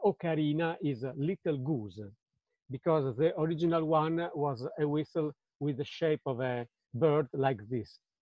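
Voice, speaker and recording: A man with an Italian accent, fairly high in pitch, at a fairly slow pace. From Italy, Budrio near Bologna. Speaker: ocarina player and historian. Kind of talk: lecture. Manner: halting.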